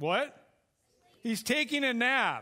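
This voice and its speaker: A man's raised, projected voice has a bright, sharp tone and very wide pitch swings. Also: very clean recording, silent background. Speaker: guest preacher, youth pastor. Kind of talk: sermon. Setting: church. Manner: loud; fast, hyper.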